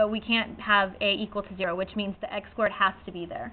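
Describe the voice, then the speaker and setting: Words come from this woman at a very fast pace. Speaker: high school math teacher. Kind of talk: classroom lecture.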